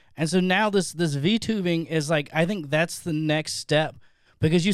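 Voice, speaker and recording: A man's ordinary speaking voice, fairly high in pitch, with lively intonation at a moderate pace, on a very clean recording with a silent background. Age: 40s. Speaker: streamer and podcast guest. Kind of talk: casual chat.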